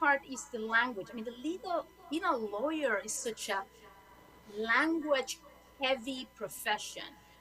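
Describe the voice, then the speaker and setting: A woman with a Spanish accent speaks slowly-ish in a high, raised and projected voice, her intonation lively and her loudness swinging widely, at a fairly slow pace. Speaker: lawyer. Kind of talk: panel talk.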